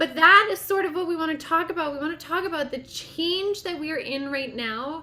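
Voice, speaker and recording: A woman talks at a fairly quick pace in a raised, projected voice. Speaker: podcast host and medium. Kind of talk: interview.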